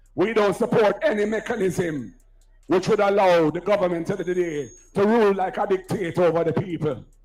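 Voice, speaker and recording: Music plays in the background as a man with a high pitch and ordinary pitch variation speaks at a fairly quick pace. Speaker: political speaker at campaign rally. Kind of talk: campaign rally speech. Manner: loud, oratorical.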